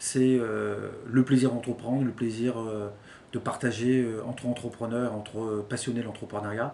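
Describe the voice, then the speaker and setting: A man talks at a fairly slow pace with an ordinary speaking voice. His medium pitch holds a fairly even intonation. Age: 40s. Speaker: HR consultant and mentor. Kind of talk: interview testimony.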